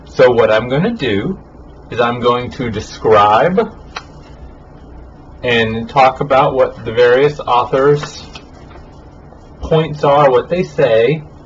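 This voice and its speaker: Speaking at a very slow pace with long, frequent pauses, the voice shows ordinary pitch variation amid noticeable background noise and audible room echo. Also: man, medium pitch for a man. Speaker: college teacher. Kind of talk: recorded lecture. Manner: casual, informal. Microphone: poor audio quality in this recording.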